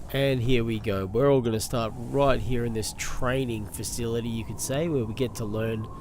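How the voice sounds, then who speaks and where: A quiet man speaks at a medium pitch and a moderate pace. Audible room echo surrounds his voice. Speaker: gaming YouTuber. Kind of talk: let's play commentary.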